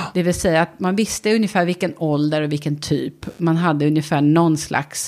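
Using a normal speaking voice, a woman talks at a moderate pace with fairly low pitch. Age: 40s. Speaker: podcast co-host. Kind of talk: casual chat.

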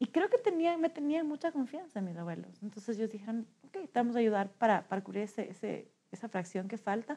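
A woman talks at a fairly quick pace in a fairly high, somewhat breathy voice with a dark, mellow tone. Her pitch swings very widely and her loudness jumps around a lot. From Ecuador, Quito. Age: 30s. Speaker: social entrepreneur. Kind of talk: interview storytelling. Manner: hesitant with frequent fillers.

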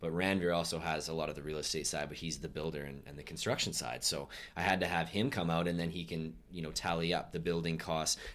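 In a room with audible echo, a man with a very deep, low pitch talks at a very fast pace with hardly any pauses and fairly even intonation. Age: 20s. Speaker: podcast host. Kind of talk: casual interview.

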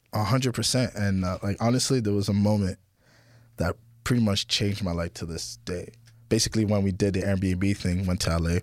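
An ordinary speaking voice from a man with a fairly low pitch and ordinary pitch variation moves at a fairly quick pace on a very clean recording with a silent background. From Ottawa, Canada; Haitian parents. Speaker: rapper. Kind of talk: casual interview chat.

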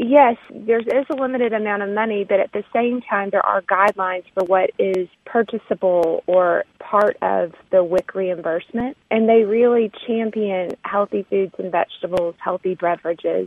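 Hardly pausing, a woman speaks at a moderate pace with a Southern US accent. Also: medium pitch for a woman, ordinary pitch variation. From Arkansas. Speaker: foundation program officer. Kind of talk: interview. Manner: hesitant with frequent um.

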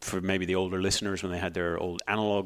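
A man talks in a fairly low pitch with a Northern Irish accent. The recording is very clean, with a silent background. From Northern Ireland. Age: 30s. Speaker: astronomer. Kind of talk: casual interview.

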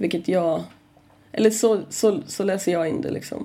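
Speaking fairly slowly, a woman uses a medium pitch and lively intonation. Her tone is dark and mellow, with vocal fry. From northern Sweden (Kramfors, Ångermanland). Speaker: comic artist. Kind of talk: casual chat.

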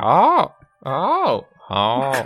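Over faint music in the background, a woman uses a put-on character voice of extremely low pitch, speaking very slowly with very wide pitch swings.

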